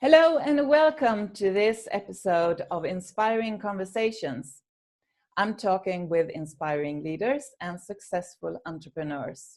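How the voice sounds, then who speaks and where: This woman talks at a fairly slow pace, her pitch swinging very widely. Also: medium pitch for a woman. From Sweden. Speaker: interview show host. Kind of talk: interview.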